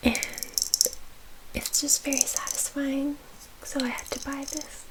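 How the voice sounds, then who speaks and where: Whispering in a gentle tone at a very slow pace, a woman is heard over noticeable background noise. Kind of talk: ASMR soft-spoken chatting to camera. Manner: soft-spoken, gentle.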